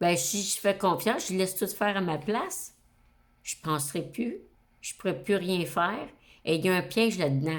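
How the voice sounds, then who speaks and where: In a Quebec accent, a woman speaks at a medium pitch. She leaves long, frequent pauses. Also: ordinary pitch variation, moderate pace. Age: 60s. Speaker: astrology YouTuber. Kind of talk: casual monologue to camera. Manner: hesitant, many fillers.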